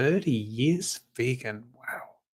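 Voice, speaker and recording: Speaking with a British accent, a man talks at a medium pitch. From northern England, Fleetwood near Blackpool. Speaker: animal rights activist. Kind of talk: casual chat. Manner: halting.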